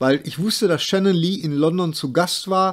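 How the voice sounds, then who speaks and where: Speaking at a moderate pace, a man uses an ordinary speaking voice. His pitch variation is ordinary. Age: 50s. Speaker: screenwriter and podcaster. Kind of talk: casual chat.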